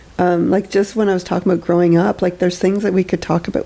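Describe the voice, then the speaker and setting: Noticeable background noise sits behind a woman speaking at a very fast pace with a fairly low pitch. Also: very even loudness. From eastern Ontario, Canada (Lanark County). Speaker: therapist and podcast host. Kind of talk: casual chat.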